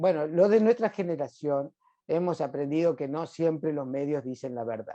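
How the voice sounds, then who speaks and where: Against a quiet background, a man with fairly high pitch speaks in a dark, mellow tone. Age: 60s. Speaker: hematologist doctor. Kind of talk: interview. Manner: hesitant fillers.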